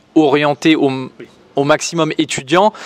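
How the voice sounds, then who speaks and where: A man with a slight northern French accent speaks with fairly even intonation in a dry, close recording with no echo. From northern France. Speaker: property investor. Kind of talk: casual interview chat.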